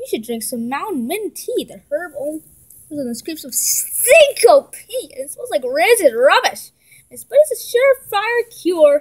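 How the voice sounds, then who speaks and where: A woman's put-on character voice, extremely high-pitched, with very wide pitch swings and big jumps in loudness. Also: moderate pace, dry, close sound with no echo. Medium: read story.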